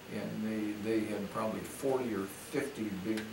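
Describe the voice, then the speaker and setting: Noticeable background noise runs under a man speaking at a fairly low pitch. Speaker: retired businessman, interviewed grandfather. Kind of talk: interview answer, recounting personal history. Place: home room. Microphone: camera far.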